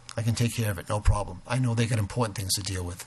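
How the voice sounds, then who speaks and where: A man's fairly low, somewhat breathy voice at a fairly quick pace, with fairly even intonation. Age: 60s. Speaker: resident speaking at town meeting. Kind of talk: public comment at town board meeting. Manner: halting, with many fillers.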